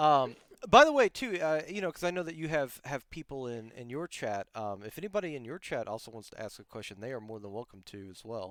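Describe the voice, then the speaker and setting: In a dry, close recording with no echo, a man with an American accent and a fairly high voice talks fairly quickly in an animated tone, with very wide pitch swings, big swings in loudness and hardly any pauses. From United States. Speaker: podcast host and Twitch streamer. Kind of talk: casual interview chat. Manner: animated, many fillers.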